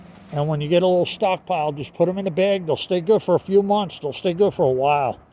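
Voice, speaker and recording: A man with a high pitch and a dark, mellow tone speaks very fast, his pitch varying in an ordinary way. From US Northeast. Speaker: online seller vlogger. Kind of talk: casual vlog talk. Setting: outdoors. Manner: halting, many fillers.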